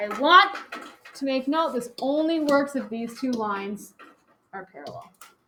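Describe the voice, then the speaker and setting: A woman's raised, projected voice, high-pitched with lively intonation and big swings in loudness, at a fairly slow pace with long, frequent pauses and audible room echo. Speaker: high school geometry teacher. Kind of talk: classroom lecture. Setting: classroom with students.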